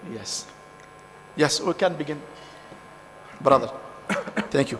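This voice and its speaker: Over noticeable background noise, a man talks at a fairly slow pace. His pitch is fairly high, with ordinary variation. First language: French or Arabic. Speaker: conference session chair. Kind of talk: session chairing. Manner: halting.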